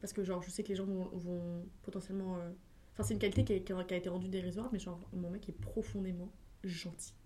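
Speaking very fast, a woman with a somewhat breathy, dark and mellow voice keeps a medium pitch in a flat monotone. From France, Essonne (Paris region). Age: 20s. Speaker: social media content creator. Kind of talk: casual chat. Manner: fast, filler-heavy.

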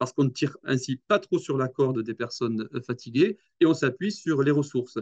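With lively intonation, a man at medium pitch speaks in a dark, mellow tone, the sound dry and close with no echo. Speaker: nursing home director. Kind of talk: interview conversation. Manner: halting, frequent hesitations and repetitions.

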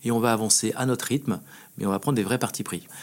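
A man talks in a medium pitch with ordinary pitch variation. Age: 40s. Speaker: champagne house executive. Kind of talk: interview.

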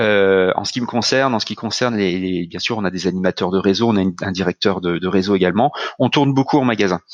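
This man talks at a very fast pace in a fairly low pitch. His pitch varies in an ordinary way. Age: 40s. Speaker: company executive. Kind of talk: interview. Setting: video call. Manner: halting.

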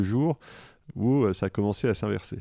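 Against a quiet background, a man with a fairly low pitch and a dark, mellow tone speaks at a moderate pace with ordinary pitch variation. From France (Grenoble area). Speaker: finance executive. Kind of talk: interview.

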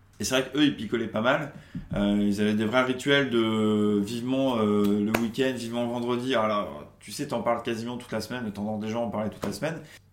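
Amid audible room echo and noticeable background noise, a man speaks fairly quickly at a medium pitch with fairly even intonation. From Charente-Maritime, western France. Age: 30s. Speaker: recovering alcoholic, creative consultant. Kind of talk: testimony interview. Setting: at his home apartment.

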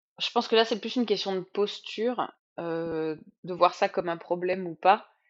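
Her pitch is medium and varies in an ordinary way. The woman's speech moves very slowly. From Sologne, Loir-et-Cher, France. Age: 40s. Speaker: winemaker. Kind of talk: interview. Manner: hesitant with fillers.

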